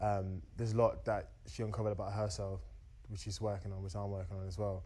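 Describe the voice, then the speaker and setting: A somewhat breathy man's voice, fairly low in pitch, with audible room echo. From Austria, moved to UK at 14. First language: German. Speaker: dating show contestant. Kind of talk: casual chat.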